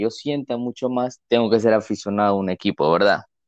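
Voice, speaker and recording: Moderately paced, a man's plain, everyday voice sits at a medium pitch. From Ecuador. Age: 20s. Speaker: civil engineer and football fan. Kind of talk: casual podcast chat.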